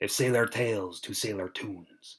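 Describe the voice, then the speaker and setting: Somewhat breathy, this man talks at a fairly slow pace. His pitch is fairly low. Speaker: amateur audiobook narrator. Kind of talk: audiobook reading.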